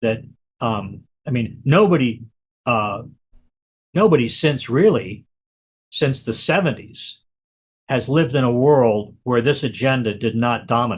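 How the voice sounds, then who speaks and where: At a fairly slow pace, a man with a medium pitch talks with long, frequent pauses, ordinary pitch variation and a somewhat breathy sound. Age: 60s. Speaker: author and activist. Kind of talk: interview. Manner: halting, many repetitions.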